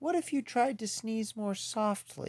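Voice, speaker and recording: Pitched high, a man performs a put-on character voice. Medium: read story.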